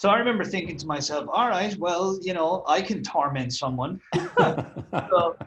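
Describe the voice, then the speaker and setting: The speaker is a man with an Irish accent. He talks at a moderate pace. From Ireland. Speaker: copywriter and marketer. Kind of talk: interview. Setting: call.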